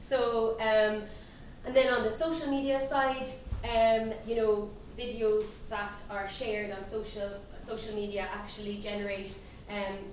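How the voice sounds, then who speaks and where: With an Irish accent, a woman talks at a fairly slow pace and fairly high pitch, her intonation fairly even, with long, frequent pauses, audible room echo and noticeable background noise. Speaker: company CEO, conference speaker. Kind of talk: seminar presentation. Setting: conference stage with audience.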